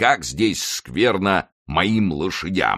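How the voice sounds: In a put-on character voice, a man speaks very slowly at a low pitch, his tone bright and sharp and his intonation lively, on a very clean recording with a silent background.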